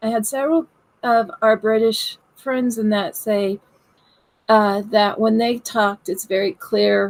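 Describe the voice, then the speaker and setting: A woman with a Southern US accent speaks at a fairly slow pace in a fairly high pitch. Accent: Southern US twang. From US South. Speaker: paranormal investigator. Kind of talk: casual chat. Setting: live stream video call.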